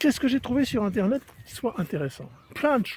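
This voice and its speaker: A man speaks in a high pitch. His pace is fairly slow. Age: 60s. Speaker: golf vlogger. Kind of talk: casual monologue while walking the dog. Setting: outdoors walking the dog. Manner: hesitant, many fillers.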